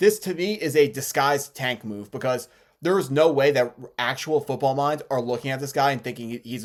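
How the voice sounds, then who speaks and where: Very fast and lively in intonation, a man with a medium pitch swings widely in loudness, recorded very cleanly with a silent background. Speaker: sports YouTuber, NFL analyst. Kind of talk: solo commentary video. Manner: occasional stuttering.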